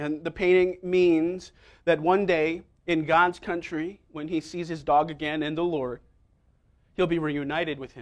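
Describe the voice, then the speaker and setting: A man with an American accent in an ordinary speaking voice, fairly high pitch, fairly even intonation and fairly slow pace, against a quiet background. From New York City, Manhattan. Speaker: pastor. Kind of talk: sermon. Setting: church with congregation.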